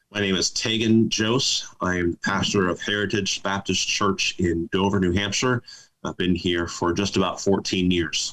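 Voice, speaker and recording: A man in a plain, everyday voice speaks at a moderate pace with fairly low pitch and fairly even intonation. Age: 40s. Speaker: pastor. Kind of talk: casual interview.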